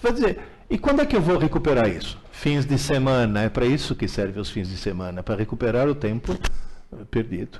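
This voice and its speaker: Very wide pitch swings mark the fairly quick delivery. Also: man, medium pitch for a man. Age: 70s. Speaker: teacher. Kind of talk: live Q&A.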